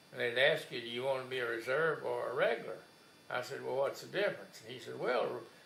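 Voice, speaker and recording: A man's loudness swings widely, with audible room echo and noticeable background noise in the recording. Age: 80s+. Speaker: war veteran. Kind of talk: oral history interview. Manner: halting.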